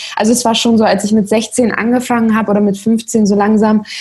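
Somewhat breathy and dark, mellow in tone, a woman talks at a fairly quick pace. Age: 20s. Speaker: social media creator. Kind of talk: interview.

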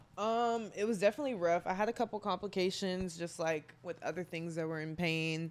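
A woman with an American accent and an unremarkable speaking voice talks fairly quickly at medium pitch, with ordinary pitch variation and hardly any pauses. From Texas, Garland. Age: 20s. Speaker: college athlete. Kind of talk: casual chat.

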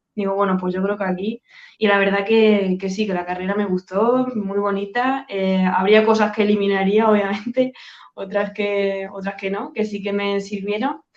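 The delivery keeps a moderate pace. Its intonation is flat and monotone. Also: woman, medium pitch for a woman. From Spain, Badajoz (Extremadura). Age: 30s. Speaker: sales closer. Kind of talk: interview. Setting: video call.

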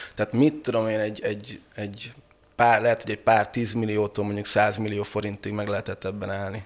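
A man at a very fast pace, fairly low in pitch, with monotone, flat intonation. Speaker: brewer and pub owner. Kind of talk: casual chat. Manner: halting.

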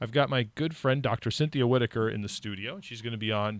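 An ordinary speaking voice from a man with an American accent, at a fairly quick pace with ordinary pitch variation, in a very clean recording with a silent background. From California. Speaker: radio host. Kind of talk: casual chat. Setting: studio.

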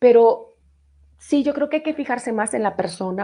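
Animated in tone, a woman talks at a moderate pace with ordinary pitch variation. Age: 40s. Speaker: radio host. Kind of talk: casual live radio chat.

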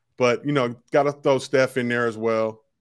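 A man speaks at a medium pitch with fairly even intonation, in a plain, everyday voice. The recording is very clean, with a silent background. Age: 40s. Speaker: sports media host and producer. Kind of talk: casual chat.

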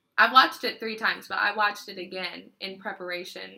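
A woman speaks at a medium pitch in a bright, sharp tone with vocal fry. Her pace is moderate and her pitch varies in an ordinary way. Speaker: podcast host. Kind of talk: casual chat.

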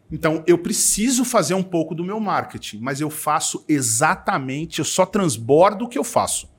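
A man speaks at a high pitch in an animated tone, his pitch swinging very widely. He leaves hardly any pauses, and the recording is very clean with a silent background. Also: moderate pace. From São Paulo, East Zone. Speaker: entrepreneur, events agency owner. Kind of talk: casual interview chat.

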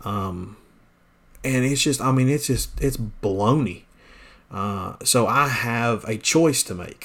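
Here a man with a Southern US accent talks at a very slow pace and medium pitch. His pitch variation is ordinary, and the recording is very clean with a silent background. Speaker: pastor. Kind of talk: podcast monologue, casual and preachy. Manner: casual, folksy.

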